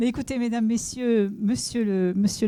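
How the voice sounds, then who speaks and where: A woman's dark, mellow voice in a Toulouse accent, with ordinary pitch variation on a very clean recording with a silent background. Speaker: senior education official. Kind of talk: official speech. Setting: inauguration event with audience. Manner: halting, many hesitations.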